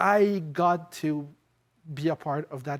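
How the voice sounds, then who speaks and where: A man speaks with a non-native accent and ordinary pitch variation on a very clean recording with a silent background. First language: not English. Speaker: former fellow, policy panelist. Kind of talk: panel discussion at live event. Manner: halting, frequent fillers.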